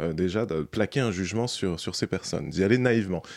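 The recording is spotless, with nothing in the background. A man's voice is heard. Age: 30s. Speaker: documentary filmmaker. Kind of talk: interview. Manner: hesitant.

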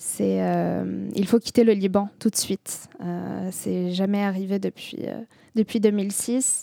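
A woman with an Arabic accent talks at a very slow pace, the sound dry and close with no echo. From southern Lebanon. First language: Arabic (speaking French). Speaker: poet. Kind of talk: interview. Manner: halting.

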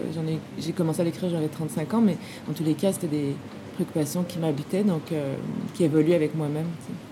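Through noticeable background noise, a woman with a very deep, low voice speaks at a fairly quick pace with fairly even intonation. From Quebec. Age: 40s. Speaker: film director. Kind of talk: interview. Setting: film festival.

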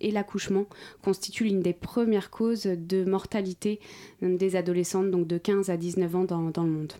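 Her tone is dark and mellow, at a medium pitch for a woman. She speaks with monotone, flat intonation. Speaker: NGO spokesperson. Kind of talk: radio interview. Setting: radio studio. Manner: hesitant, repeats words.

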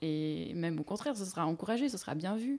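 Her tone dark and mellow, a woman speaks at a medium pitch with lively intonation. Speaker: linguistics lecturer. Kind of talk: academic explanation in radio interview. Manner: measured, hesitant with fillers.

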